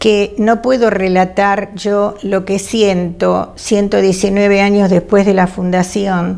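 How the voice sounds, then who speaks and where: At a very slow pace, a woman speaks at medium pitch with monotone, flat intonation and very even loudness. Noticeable background noise can be heard. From Argentina, Buenos Aires. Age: 80s+. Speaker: retired teacher and family historian. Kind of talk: testimony. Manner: halting, with many fillers.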